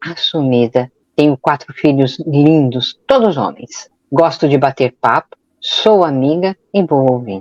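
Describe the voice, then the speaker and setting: A woman's very deep, low pitch at a very slow pace, with ordinary pitch variation and a dry, close sound with no echo. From São Paulo, Brazil. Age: 60s. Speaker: podcast co-host. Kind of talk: self-introduction in podcast.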